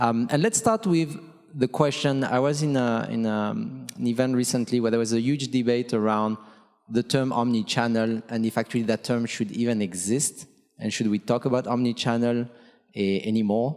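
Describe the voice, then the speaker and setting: With very even loudness and fairly even intonation, a man speaks at a moderate pace in a medium pitch. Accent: French. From France. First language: French. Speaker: panel moderator, logistics executive. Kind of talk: conference panel discussion. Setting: conference stage with audience.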